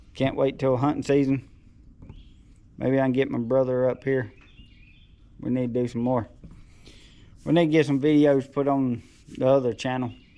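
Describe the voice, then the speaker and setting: A man's mumbling voice at medium pitch, dark and mellow in tone, flat and monotone, at a moderate pace with long, frequent pauses. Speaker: taxidermist and handyman. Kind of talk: casual vlog talk.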